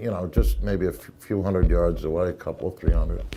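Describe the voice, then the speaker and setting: A man is speaking. Music plays in the background. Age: 60s. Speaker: eyewitness interviewee. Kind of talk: interview testimony. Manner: halting, with false starts.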